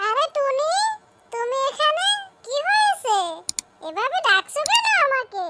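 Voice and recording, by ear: In a cartoonish character voice, a woman speaks very slowly with a squeaky, extremely high pitch.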